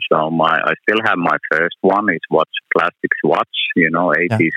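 A man speaks. The sound is dry and close, with no echo. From Finland, born in Athens, moved at six. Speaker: watch show organizer. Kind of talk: phone interview. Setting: phone call. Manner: halting.

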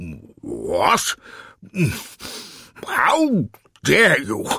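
A man's put-on character voice at medium pitch, very slow, with very wide pitch swings, a bright, sharp tone, a husky, rough edge and vocal fry

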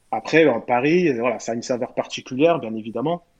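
A man speaks at medium pitch with ordinary pitch variation. His pace is moderate. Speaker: former professional footballer. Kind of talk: podcast interview.

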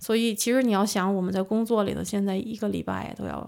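The woman's delivery moves along at a fairly quick pace. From northern China. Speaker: AI researcher. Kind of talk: casual interview. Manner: hesitant.

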